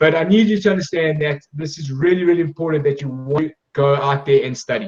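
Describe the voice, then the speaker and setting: A man in a South African accent talks at a very fast pace with ordinary pitch variation. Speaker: sports scholarship agency director. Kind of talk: presentation.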